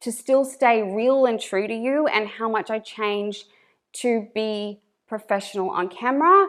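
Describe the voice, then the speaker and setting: In a strong northern Australian accent, a woman talks at a fairly slow pace with a fairly high pitch. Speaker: YouTuber, stay-at-home mum. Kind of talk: casual reaction commentary. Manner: animated, talks with hands; careful enunciation.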